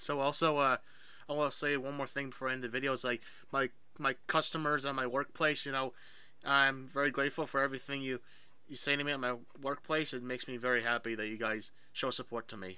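Very fast and monotone, a man talks with flat intonation in a bright, sharp tone, the sound dry with no echo. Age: 20s. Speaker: YouTuber. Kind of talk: casual vlog. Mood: grateful, a bit emotional. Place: home room. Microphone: webcam.

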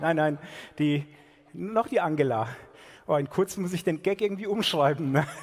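A man at a high pitch, with ordinary pitch variation. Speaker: ventriloquist comedian. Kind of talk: comedy stage banter. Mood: playful, joking. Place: stage. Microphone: headset.

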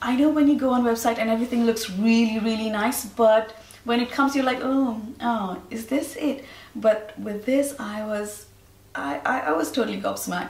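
A woman's fairly high voice, with ordinary pitch variation, comes through noticeable background noise. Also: moderate pace. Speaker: fashion and beauty vlogger. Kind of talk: video haul and try-on, addressing viewers. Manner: upbeat, enthusiastic.

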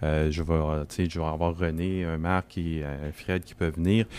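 A man's voice is captured on a very clean recording with a silent background. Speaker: regional director of an EV association. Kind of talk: casual group discussion. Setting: makeshift studio at an event.

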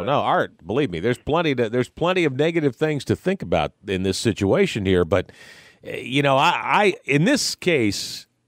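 A man speaks at a moderate pace with vocal fry and very wide pitch swings, his loudness very even. The sound is dry with no echo, and the background is quiet. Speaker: radio sports talk show host. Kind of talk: live radio postgame show hosting, conversational. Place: studio. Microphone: studio mic.

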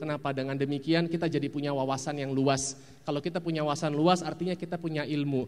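The voice belongs to a man with fairly high pitch. He talks very fast. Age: 40s. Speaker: actor. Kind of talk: talk to an audience giving advice. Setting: stage with audience. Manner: animated. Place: hall. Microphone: handheld.

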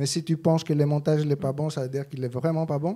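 Against a quiet background, a man with a Greek accent speaks in a dark, mellow tone with monotone, flat intonation. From Greece. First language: Greek (speaking French). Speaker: film editor; guest. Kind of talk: interview. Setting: cinema stage with audience. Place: hall. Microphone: studio mic.

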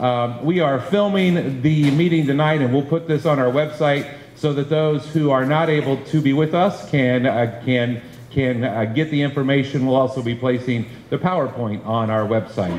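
A man's moderate pace and ordinary pitch variation come through audible room echo and light background noise. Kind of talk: public meeting address. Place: classroom. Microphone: handheld.

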